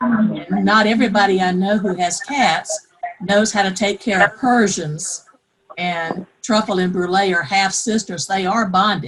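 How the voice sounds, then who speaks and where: A woman speaks with a South Carolina accent at a medium pitch. Her pace is moderate, and her pitch variation is ordinary. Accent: Southern US (South Carolina). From US South, South Carolina. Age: 60s. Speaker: pet owner participant. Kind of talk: casual group call chat.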